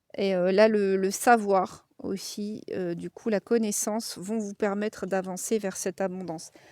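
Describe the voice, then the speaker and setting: A woman's medium-pitched voice with a Lorraine accent, dark and mellow in tone, monotone and flat in intonation, at a fairly slow pace with hardly any pauses, on a very clean recording with a silent background. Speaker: tarot card reader. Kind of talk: tarot reading to camera. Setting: outdoors. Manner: casual, hesitant with many fillers.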